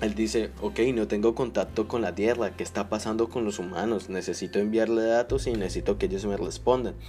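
With music in the background, a man with a fairly low pitch talks at a fairly quick pace with hardly any pauses and ordinary pitch variation. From Colombia. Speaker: podcast host, aspiring writer. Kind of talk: solo podcast monologue, literary analysis. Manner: halting, with fillers.

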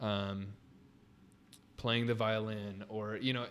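In a Californian accent, a man speaks at a fairly slow pace with a fairly low pitch, on a very clean recording with a silent background. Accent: Californian American. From Southern California (Riverside). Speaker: wedding videographer. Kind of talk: casual chat. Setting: in the guest's studio.

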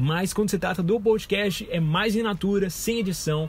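This man speaks at a moderate speed, and his intonation is lively. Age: 20s. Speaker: podcast host. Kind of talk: solo casual monologue. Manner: informal, rambling with fillers.

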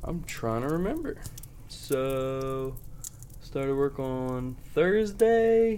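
In a room with audible echo, a man speaks at a very slow pace and a fairly high pitch, his voice making very wide pitch swings. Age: 20s. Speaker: podcast co-host. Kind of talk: casual chat. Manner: animated.

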